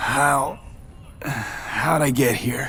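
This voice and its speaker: A raspy, put-on character voice at a low-to-middle pitch, with clear background noise. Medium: video game.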